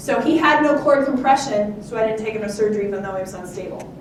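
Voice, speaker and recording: A woman at a fairly high pitch and a very fast pace, with audible room echo and noticeable background noise. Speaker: neurosurgeon. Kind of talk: lecture.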